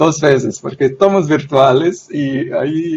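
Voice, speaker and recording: A man's fairly high voice in a Portuguese accent, with ordinary pitch variation. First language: Portuguese (speaking Spanish). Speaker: sociologist. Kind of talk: academic panel talk. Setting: video call. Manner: halting.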